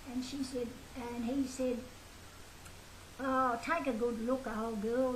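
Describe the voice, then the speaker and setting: In a room with audible echo and noticeable background noise, a woman speaks. Her pitch is high and her pace moderate. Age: 80s+. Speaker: elderly woman sharing memories. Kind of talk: oral history reminiscence. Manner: halting.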